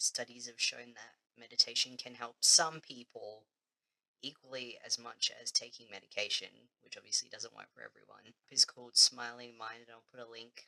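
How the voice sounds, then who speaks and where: An Australian accent marks this man's speech at a moderate pace. His loudness swings widely. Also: dry, close sound with no echo. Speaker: vlogger. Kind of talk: casual vlog chat.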